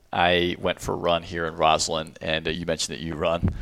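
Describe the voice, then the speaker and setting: With an American accent, a man speaks in a very deep, low voice. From US, Washington DC area. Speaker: defense tech executive, former Marine officer. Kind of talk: interview. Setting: in-person studio.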